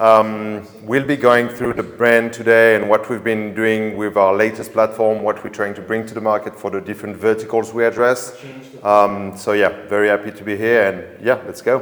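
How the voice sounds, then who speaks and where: Over noticeable background noise, a man with a French accent talks at a moderate pace in a monotone, flat voice, hardly pausing, with big swings in loudness. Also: fairly low pitch for a man. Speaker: drone company sales manager. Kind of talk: webinar conversation. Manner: halting.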